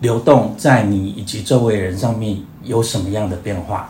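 Audible room echo surrounds a somewhat breathy voice. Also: man. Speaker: long-term HIV patient. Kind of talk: casual chat.

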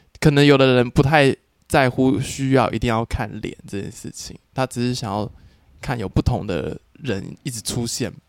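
In a Taiwanese accent, the speaker goes at a moderate pace with ordinary pitch variation and big swings in loudness, the sound dry and close with no echo. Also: man, medium pitch for a man. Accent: Taiwanese Mandarin. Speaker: adult film actor. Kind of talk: casual interview chat.

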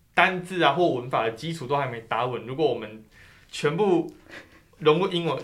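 A man at a fairly high pitch and fairly quick pace with ordinary pitch variation, amid audible room echo and noticeable background noise. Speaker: graduate student. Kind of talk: interview. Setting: studio.

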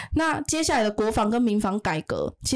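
A woman talks at a fairly quick pace with lively intonation and a fairly high pitch. It is a normal speaking voice. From Taiwan. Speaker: activist returning from Ukraine frontline visit. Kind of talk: interview about war observations.

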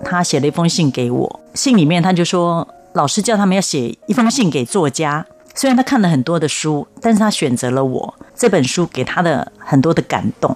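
A woman speaks at a fairly low pitch with very wide swings in pitch. Her pace is moderate, and there is noticeable background noise. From Taiwan, Taipei. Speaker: children's author. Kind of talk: interview.

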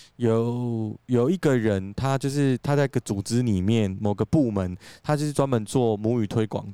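In a very clean recording with a silent background and a dry, close sound with no echo, a man with a Taiwanese accent speaks fairly slowly at a medium pitch, his tone dark and mellow and his pitch variation ordinary. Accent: Taiwanese Mandarin. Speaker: podcast co-host. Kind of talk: casual chat. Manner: animated.

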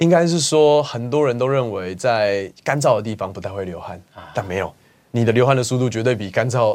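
An unremarkable speaking voice from a man, medium in pitch, fairly quick, with lively intonation. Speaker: travel YouTuber. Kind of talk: casual interview.

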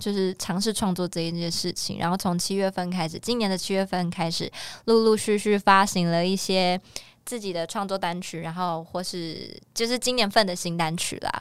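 The speaker has an unremarkable speaking voice and a moderate pace. Intonation is fairly even. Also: woman, medium pitch for a woman. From Taiwan, Miaoli (Hakka). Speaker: singer-songwriter and actor. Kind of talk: interview.

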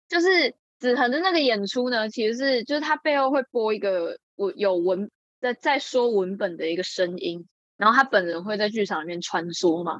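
A woman with a fairly high voice speaks at a moderate pace, her pitch swinging very widely, in a dry, close recording with no echo. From Taiwan, Changhua. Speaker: acting student. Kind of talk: casual chat.

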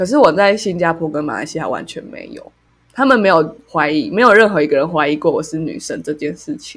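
A woman with an unremarkable speaking voice, fairly low pitched, with lively intonation, big swings in loudness and a fairly quick pace. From Taiwan, Taipei. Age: 20s. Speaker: podcast co-host. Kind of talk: casual chat.

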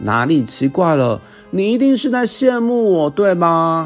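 A man's put-on character voice, high-pitched, with very wide pitch swings at a fairly slow pace over faint background music. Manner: shouting, indignant.

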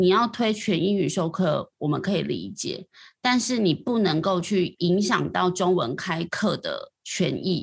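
A woman with a Taiwanese accent sounds somewhat breathy in a very clean recording with a silent background. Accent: Taiwanese Mandarin. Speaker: education reporter. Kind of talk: casual interview chat.

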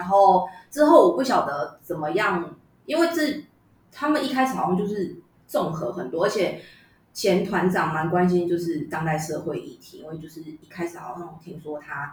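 A somewhat breathy woman of fairly low pitch, at a moderate pace, with very wide pitch swings and big swings in loudness. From Taiwan, Yunlin. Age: 30s. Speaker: traditional opera actress. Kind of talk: casual chat.

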